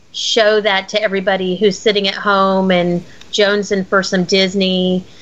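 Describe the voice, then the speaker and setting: A woman with a plain, everyday voice speaks at a moderate pace with fairly even intonation. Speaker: podcaster and Disney fan. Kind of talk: casual podcast chat.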